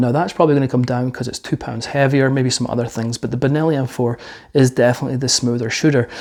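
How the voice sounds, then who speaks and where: Here a man speaks at a medium pitch. His intonation stays fairly even. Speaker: firearms reviewer. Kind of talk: product review. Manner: fast. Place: studio. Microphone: lapel.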